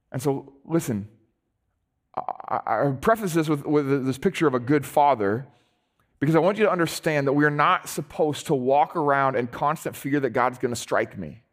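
At a moderate pace and fairly high pitch, a man speaks with ordinary pitch variation in a very clean recording with a silent background. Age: 40s. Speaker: pastor. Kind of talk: sermon. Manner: animated.

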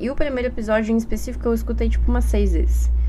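A woman speaks with a Brazilian accent. There is audible room echo. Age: 20s. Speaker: podcast host. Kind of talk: casual solo monologue. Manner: animated.

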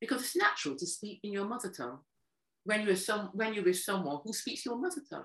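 Speaking very fast with a British accent, a woman swings very widely in pitch. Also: medium pitch for a woman. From UK, Caribbean family. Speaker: former EU official. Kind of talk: interview. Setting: video call.

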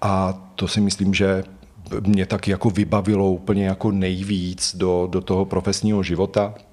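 Intonation stays monotone and flat. Speed is moderate. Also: man, very deep, low pitch for a man. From Slovakia. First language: Slovak (speaking Czech). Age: 40s. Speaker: psychotherapist. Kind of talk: interview.

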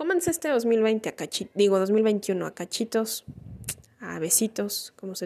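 Her tone dark and mellow, a woman talks at a fairly slow pace. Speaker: podcaster. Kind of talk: personal monologue. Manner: halting.

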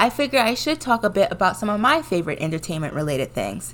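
Speaking with an American accent, a woman at medium pitch shows vocal fry and very wide pitch swings. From Washington, D.C. area. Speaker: podcast host, college student. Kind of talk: scripted solo podcast intro.

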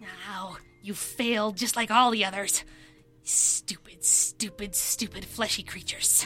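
A woman uses a put-on character voice at a medium pitch, speaking at a fairly slow pace with long, frequent pauses. Music plays in the background, and there is hissing. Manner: hissing, contemptuous.

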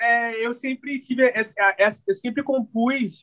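At a moderate pace, a man speaks in a high, bright, sharp voice with a dry, close sound and no echo. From Rio de Janeiro, Realengo. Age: 30s. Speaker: singer. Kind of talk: casual interview.

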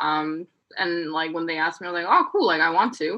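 With a Korean accent, a woman talks at a fairly quick pace, her tone bright and sharp and her intonation lively. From South Korea. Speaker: podcast guest. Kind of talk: casual chat.

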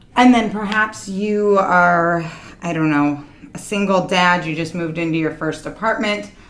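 Amid audible room echo, a woman with a fairly low voice talks at a moderate pace with ordinary pitch variation. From small town. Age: 30s. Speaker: nonprofit founder. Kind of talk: interview.

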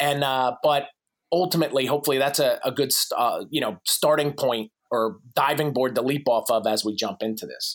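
With an American accent, a man speaks in an energetic tone at a fairly high pitch, moderate pace, and ordinary pitch variation. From US Northeast (New Jersey). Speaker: fitness coach and author. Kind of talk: casual interview.

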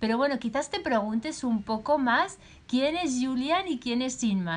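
A woman speaks with a Spanish accent at a high pitch, with very wide pitch swings. Her pace is fairly slow. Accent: Peninsular Spanish. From Spain. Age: 50s. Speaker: podcast host, life coach. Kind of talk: personal storytelling.

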